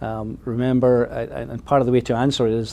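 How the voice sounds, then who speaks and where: A man with a Scottish accent speaks at a fairly quick pace in a dark, mellow tone, his intonation monotone and flat. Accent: Scottish, noticeable. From Scotland. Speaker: mining company executive. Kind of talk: interview.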